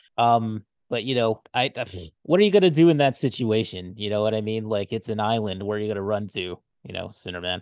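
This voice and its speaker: At a fairly quick pace, a man with a fairly low pitch talks with ordinary pitch variation. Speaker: podcast co-host, network founder. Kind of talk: casual chat. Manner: hesitant, many fillers.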